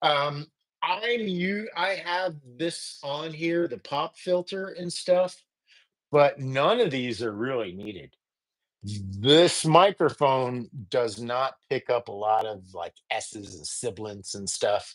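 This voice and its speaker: A man talks at a very slow pace with a fairly high pitch, very wide pitch swings and big swings in loudness. The recording is very clean, with a silent background. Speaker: musician and audio gear reviewer. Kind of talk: live-stream tutorial. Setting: live stream. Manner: casual, halting.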